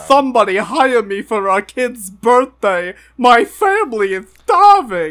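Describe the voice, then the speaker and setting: This is a put-on character voice. Its pitch is fairly high. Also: fairly slow pace. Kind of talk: exaggerated, comic. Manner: pleading, begging.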